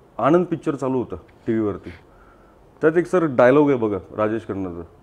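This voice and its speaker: A man's normal speaking voice with lively intonation. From Mumbai, India (Lalbaug chawl). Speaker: entrepreneur. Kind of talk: interview. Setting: studio.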